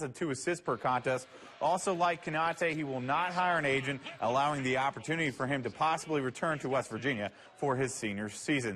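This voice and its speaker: Fairly quick speech from a man, a normal speaking voice pitched fairly high, with ordinary pitch variation. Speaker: sports anchor and reporter. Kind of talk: sports anchor desk read.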